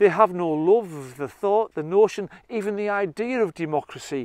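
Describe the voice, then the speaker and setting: This man, speaking with a Teesside accent at a moderate pace, has ordinary pitch variation and a dry, close sound with no echo. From northern England, Redcar. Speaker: political commentator. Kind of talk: monologue. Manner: impassioned.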